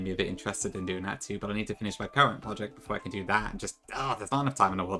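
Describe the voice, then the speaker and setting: With music in the background, a man speaks at a very fast pace in a fairly low pitch with ordinary pitch variation. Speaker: streamer and rom hack creator. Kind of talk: casual live stream chat. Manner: fast at times.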